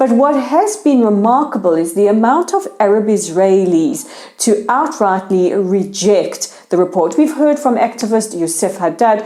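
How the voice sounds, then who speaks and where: Lively intonation and a dark, mellow tone mark this voice with a South African accent. It moves at a moderate pace, with hardly any pauses and very even loudness. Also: woman, fairly high pitch for a woman. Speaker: news show host. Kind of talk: news commentary.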